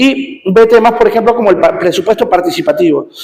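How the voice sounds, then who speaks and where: Fairly quick speech from a man, his pitch swinging very widely. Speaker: teacher. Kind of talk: lecture. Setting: classroom with students present. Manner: fast.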